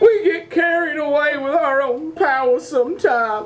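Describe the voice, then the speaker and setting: A cartoonish character voice, high in pitch, at a moderate pace over clear background music. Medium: puppet show.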